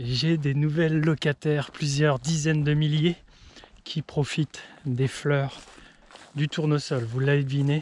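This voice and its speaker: Quiet and somewhat breathy, a man speaks very slowly in a flat monotone at very even loudness, leaving long, frequent pauses, in a dry, close sound with no echo. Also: fairly high pitch for a man. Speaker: farmer. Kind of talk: casual vlog narration. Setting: outdoors. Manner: speaking quietly.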